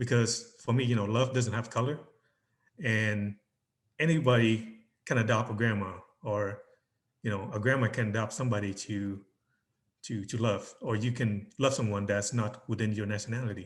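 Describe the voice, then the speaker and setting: His pitch is medium and his intonation fairly even. There is a somewhat breathy quality to it. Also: moderate pace. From Vietnam. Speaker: business relations specialist and photographer. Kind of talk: interview answer.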